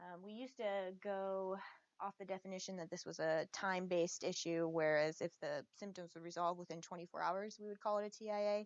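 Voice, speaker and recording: At a fairly quick pace, a woman talks at medium pitch with fairly even intonation. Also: dry, close sound with no echo. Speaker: emergency medicine resident physician. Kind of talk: lecture. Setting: video stream. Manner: fast.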